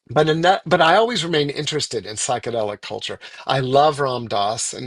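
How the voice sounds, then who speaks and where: With an American accent and a plain, everyday voice, a man talks at a fairly quick pace with ordinary pitch variation, the sound dry and close with no echo. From Virginia, US. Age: 60s. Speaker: spiritual author and speaker. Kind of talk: guest talk.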